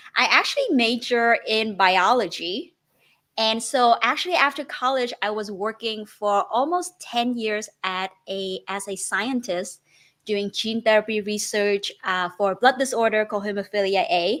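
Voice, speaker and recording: A woman with a Vietnamese accent speaks at a fairly slow pace. Her pitch is fairly high, with ordinary variation. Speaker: real estate investor. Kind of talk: interview.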